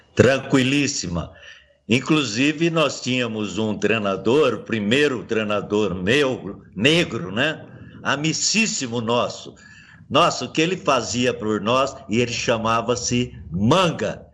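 Against audible room echo, a man at medium pitch speaks at a very slow pace with lively intonation. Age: 70s. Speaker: retired footballer. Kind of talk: interview.

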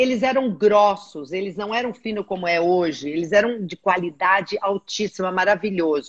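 A woman uses an ordinary speaking voice with a medium pitch and ordinary pitch variation. She keeps a moderate pace with hardly any pauses, in a dry, close sound with no echo. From Brazil. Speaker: aqua fitness instructor. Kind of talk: casual chat.

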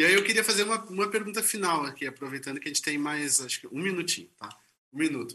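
Speaking very fast, a man uses a fairly high pitch. The intonation is lively throughout. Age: 40s. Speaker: author and moderator. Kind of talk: panel conversation. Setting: video call from office. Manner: halting.

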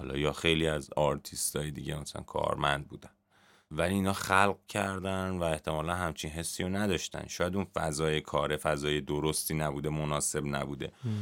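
Here a man talks at a fairly quick pace with a very deep, low pitch and fairly even intonation. The recording is very clean, with a silent background. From Iran, Garmsar (Semnan province). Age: 30s. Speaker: music journalist. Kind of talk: casual chat.

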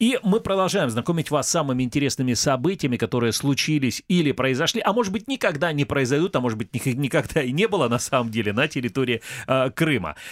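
Lively in intonation and fairly high in pitch, a man talks very fast at very even loudness. The recording is very clean with a silent background and a dry, close sound with no echo. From Crimea, Kerch. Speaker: radio host. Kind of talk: casual chat.

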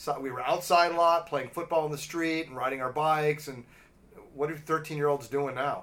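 This man has a plain, everyday voice and an American accent, pitched fairly high. He talks at a fairly quick pace with fairly even intonation. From Los Angeles. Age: 50s. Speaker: podcast host. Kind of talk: casual chat.

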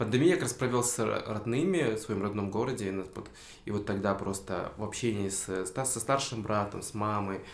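Speaking at a fairly low pitch, a man uses ordinary pitch variation while audible room echo surrounds him. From Kyrgyzstan, Tokmok. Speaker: content creator. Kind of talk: casual chat. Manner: animated.

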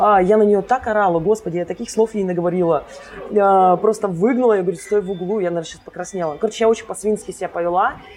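A woman at a very fast pace, medium pitch and fairly even intonation, with music in the background. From Karelia, Russia (Kostomuksha). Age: 30s. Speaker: social media marketer. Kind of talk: casual interview. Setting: bar.

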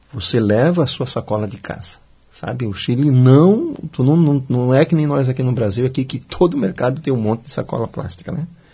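A man speaks at a fairly quick pace and medium pitch. His voice is somewhat breathy, with a dark, mellow tone. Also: ordinary pitch variation. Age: 50s. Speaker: civil engineering student and former construction worker. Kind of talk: radio interview. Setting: radio studio.

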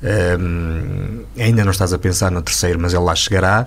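Background noise is clearly audible. Over it, a man talks. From Portugal, Douro region. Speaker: radio host. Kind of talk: interview.

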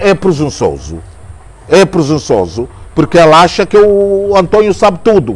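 A man speaks at a fairly slow pace in a high voice, with noticeable background noise behind him. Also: ordinary pitch variation. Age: 60s. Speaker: journalist. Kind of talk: interview. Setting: jazz club.

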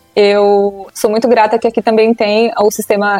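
A woman talks at a moderate pace while noticeable background noise carries on behind her. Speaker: psychologist. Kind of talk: casual interview chat.

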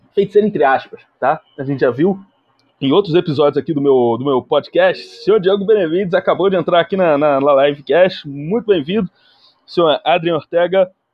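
A man at a high pitch and fairly quick pace, ordinary pitch variation, with music in the background. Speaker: podcast host. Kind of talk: comedic live commentary on a film. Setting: livestream. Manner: animated.

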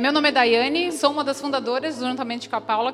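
Over noticeable background noise, a woman talks fairly quickly at a high pitch with ordinary pitch variation. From Santa Catarina, Brazil (Rio do Sul). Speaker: entrepreneur, club co-founder. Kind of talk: event speech.

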